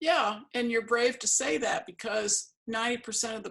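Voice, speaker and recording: A woman talks at a moderate pace with vocal fry. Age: 60s. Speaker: artist and interviewer. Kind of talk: casual interview.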